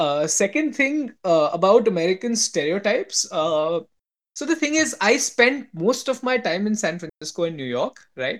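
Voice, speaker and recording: The speech comes at a moderate pace with an Indian accent. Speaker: podcast host. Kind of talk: casual chat.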